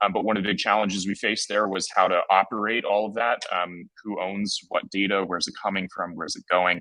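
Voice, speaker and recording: Speaking at a very fast pace, a man has a fairly low pitch and a bright, sharp tone. The sound is dry and close, with no echo. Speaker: tech company founder and CEO. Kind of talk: conference talk.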